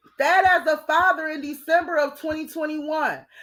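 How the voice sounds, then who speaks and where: This woman's voice sits extremely high in pitch, with a bright, sharp tone, an animated delivery and ordinary pitch variation. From Detroit, Michigan. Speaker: true crime live streamer. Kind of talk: live stream commentary. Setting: live stream. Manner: fast.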